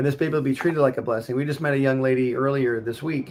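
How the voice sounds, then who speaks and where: Intonation stays fairly even for this man. His speech goes at a very fast pace. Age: 60s. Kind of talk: casual chat.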